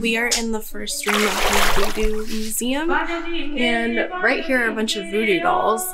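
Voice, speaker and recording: Loud music plays in the background. Over it, a woman talks at a fairly slow pace. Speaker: travel vlogger. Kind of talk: casual vlog chat.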